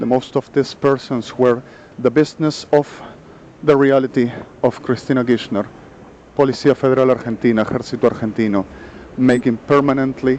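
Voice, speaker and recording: A man with a non-native accent speaks at a medium pitch and moderate pace. His intonation is fairly even, with noticeable background noise behind him. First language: Spanish. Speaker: vlogger. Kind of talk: monologue vlog. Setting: outdoors on a street. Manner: halting.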